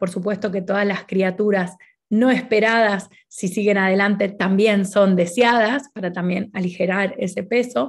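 A woman speaks in an Argentine accent at a fairly slow pace. Her pitch variation is ordinary, and the background is quiet. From Argentina. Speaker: naturopath and doula; presenter. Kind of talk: conference talk. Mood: warm, friendly. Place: home room. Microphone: webcam.

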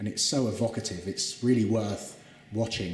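Over light background noise and audible room echo, a man talks at a moderate pace with fairly even intonation. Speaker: presenter. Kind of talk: guided tour commentary. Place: hall. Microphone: phone near.

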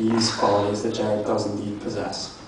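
A man speaks in a space with strong room echo and noticeable background noise. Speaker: best man; elementary school teacher. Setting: wedding reception, speaking to a crowd. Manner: jokey, deadpan-mock-formal with wry self-aware asides, laughing at his own punchlines; warm and sincere, ends with heartfelt affection. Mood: humorous, warm. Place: hall. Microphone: handheld.

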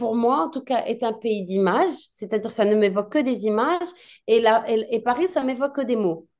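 This woman has a high pitch and lively intonation. She talks at a moderate pace. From Morocco, Casablanca. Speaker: film director. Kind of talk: interview. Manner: hesitant.

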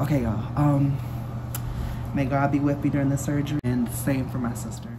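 A woman's very deep, low-pitched voice at a very fast pace, with noticeable background noise. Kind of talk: casual vlog chat. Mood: nervous, anxious. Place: bathroom. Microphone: phone near.

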